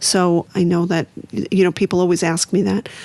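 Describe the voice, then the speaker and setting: With an American accent, a woman speaks at a fairly low pitch and fairly even intonation in a dry, close recording with no echo. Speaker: author and recovery advocate. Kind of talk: podcast interview.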